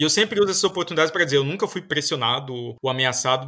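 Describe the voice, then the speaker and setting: Speaking at a very fast pace, a man with a fairly high pitch and a bright, sharp tone comes through in a very clean recording with a silent background. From Northeast Brazil, Paraíba. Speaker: computer science professor. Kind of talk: interview.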